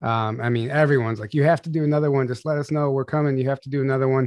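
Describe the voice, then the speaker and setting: With a quiet background and a dry, close sound with no echo, a man speaks in an ordinary speaking voice at medium pitch with ordinary pitch variation. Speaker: livestream host. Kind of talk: casual live chat, Q&A livestream. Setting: online livestream. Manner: casual, conversational.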